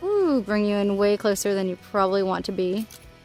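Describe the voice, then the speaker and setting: With music playing in the background, the speaker talks at a moderate pace with lively intonation. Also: woman. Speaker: beauty youtuber. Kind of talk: casual video check-in. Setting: home at night. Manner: soft-spoken.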